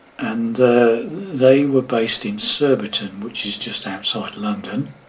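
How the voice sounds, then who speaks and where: There is noticeable background noise behind a man's voice. His pitch is medium, with ordinary variation. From England, moved around the UK. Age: 70s. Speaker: guitar teacher. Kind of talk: casual talk to camera. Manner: halting, many fillers.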